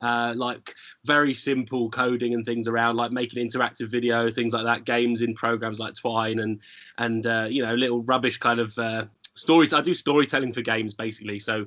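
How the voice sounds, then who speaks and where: With a London accent, a man talks at a fairly quick pace in a bright, sharp tone, his medium pitch delivered in a flat monotone. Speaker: lecturer. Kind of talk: podcast interview.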